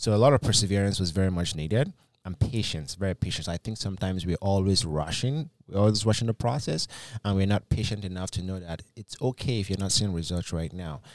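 Very fast and with ordinary pitch variation, a man with a Nigerian accent is heard in a dry, close sound with no echo on a very clean recording with a silent background. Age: 20s. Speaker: business coach. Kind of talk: podcast interview. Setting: studio.

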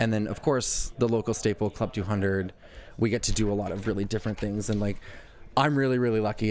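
A man with a rather low pitch talks fairly briskly. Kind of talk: casual chat, radio interview. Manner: animated, chatty, laughing.

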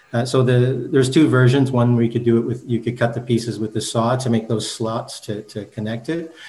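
Somewhat breathy and dark and mellow in tone, a man with a Canadian accent talks at medium pitch and a fairly quick pace with fairly even intonation. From Canada, Manitoba (Brandon). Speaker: architect and university lecturer. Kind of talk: interview. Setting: remote call. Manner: halting, repeats words.

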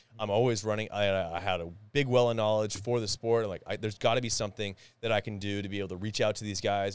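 A man speaks very fast with a Canadian prairie accent. His pitch is fairly low, and the recording is very clean with a silent background. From Winnipeg, Manitoba, Canada. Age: 30s. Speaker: podcaster and former bricklayer. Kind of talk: casual interview chat. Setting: studio. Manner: animated.

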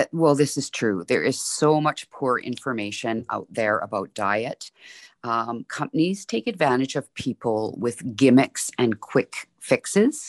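Fairly slow speech over a quiet background. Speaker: fitness expert. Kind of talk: interview answers.

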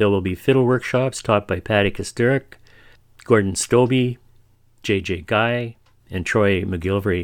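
The recording is very clean, with a silent background. A man speaks in an unremarkable speaking voice. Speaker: radio host. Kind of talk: radio dj patter. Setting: radio studio. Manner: upbeat, warm, brisk promo-reading delivery.

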